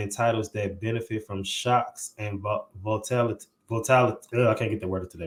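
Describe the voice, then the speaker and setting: A man with an American accent talks at a very fast pace in a medium pitch, a little breathy, with ordinary pitch movement. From St. Louis, Missouri. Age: 20s. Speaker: podcast host. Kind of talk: podcast interview; reading aloud.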